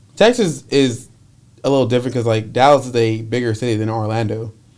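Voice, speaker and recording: A man with a normal speaking voice and an American accent talks at a medium pitch. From Connecticut, US Northeast. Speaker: guest, homeowner. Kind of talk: casual chat.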